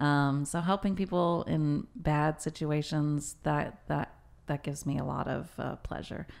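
A woman with an American accent speaks with a very deep, low pitch. Her intonation is fairly even, over a quiet background. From Texas, Waco; Texas. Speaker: real estate broker; podcast guest. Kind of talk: casual chat. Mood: relaxed, friendly. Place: meeting room. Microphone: studio mic.

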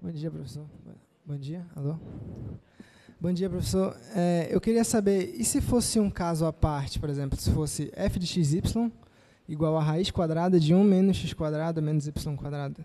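A man's fairly high-pitched voice with a dark, mellow tone, ordinary pitch variation, a moderate pace, and long, frequent pauses, against a quiet background. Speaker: engineering student. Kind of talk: classroom question. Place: hall. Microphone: handheld.

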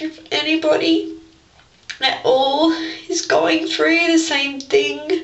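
A woman at a very slow pace with long, frequent pauses and audible room echo. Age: 20s. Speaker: vlogger with a skin-picking disorder; personal vlogger. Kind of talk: personal testimony vlog. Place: bathroom. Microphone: webcam.

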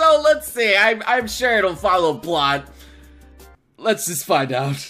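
A man projects a raised voice at a fairly slow pace. Faint music plays in the background. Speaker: reaction video host. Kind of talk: casual vlog chat. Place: home room.

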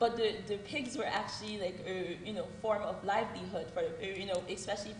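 In an American accent, a woman with a medium pitch talks at a moderate pace with fairly even intonation. The room echo is audible, and so is noticeable background noise. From Haiti, then United States from childhood. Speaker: doctoral student. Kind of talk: panel talk.

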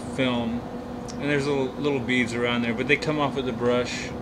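A man at a moderate pace against loud background noise. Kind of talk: casual tutorial. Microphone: camera far.

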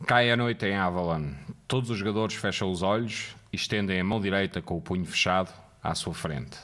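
A man's fairly low voice in a European Portuguese accent, with ordinary pitch variation and a fairly quick pace. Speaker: game moderator narrator. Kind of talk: guided narration, scripted game moderator instructions read aloud.

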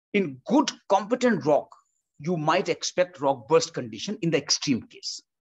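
Moderate pacing from a man, quiet behind him. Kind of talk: technical explanation. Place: home room. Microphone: webcam.

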